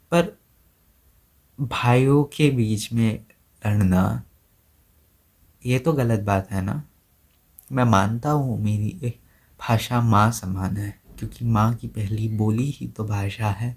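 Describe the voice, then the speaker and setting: Somewhat breathy, a man speaks at medium pitch in an Assamese accent with ordinary pitch variation and long, frequent pauses. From India, Assam (Guwahati). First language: Assamese (speaking Hindi). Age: 20s. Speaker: content creator. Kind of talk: personal vlog monologue. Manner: hesitant, with fillers.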